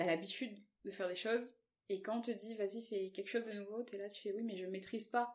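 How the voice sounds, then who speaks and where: A woman's medium-pitched voice at a fairly quick pace, monotone and flat in intonation. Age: 20s. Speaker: plus-size model. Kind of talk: casual interview.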